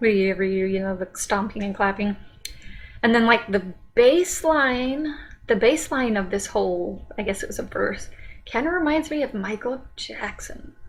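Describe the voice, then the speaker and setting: With music in the background, a woman of fairly high pitch speaks at a moderate pace with lively intonation and long, frequent pauses. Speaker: music reaction youtuber. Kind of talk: casual reaction commentary. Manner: hesitant, many fillers.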